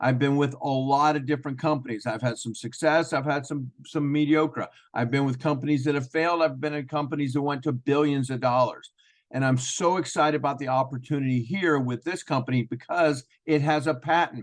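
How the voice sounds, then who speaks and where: Talking at a fairly quick pace, a man uses a fairly high pitch with fairly even intonation. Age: 60s. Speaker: network marketing presenter. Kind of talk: sales pitch. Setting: video call. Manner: halting.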